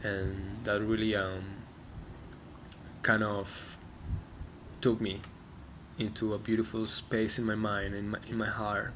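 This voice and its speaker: A man with a Spanish accent speaks fairly slowly at a fairly low pitch, his intonation flat and monotone. Long pauses come often, and the room echo is audible. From Colombia. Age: 30s. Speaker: musician. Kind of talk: personal reflection monologue. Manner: halting, many fillers and restarts.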